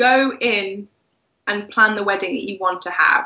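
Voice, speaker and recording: With an English accent, a woman speaks with ordinary pitch variation against a quiet background. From England. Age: 20s. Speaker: wedding blogger. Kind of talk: casual chat. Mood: relaxed, friendly. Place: home room. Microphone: video call.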